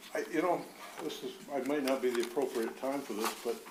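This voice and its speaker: A man with an American accent speaks at a moderate pace and medium pitch. There is audible room echo and noticeable background noise. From Rochester, Michigan. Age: 80s+. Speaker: resident making public comment. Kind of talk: public comment. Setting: council chamber podium. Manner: halting.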